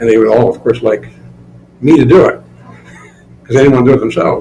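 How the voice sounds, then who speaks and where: With an American accent, a man talks in lively intonation over noticeable background noise. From northeast Indiana, US Midwest. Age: 70s. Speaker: retired school principal, museum curator. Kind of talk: interview. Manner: casual, conversational with fillers.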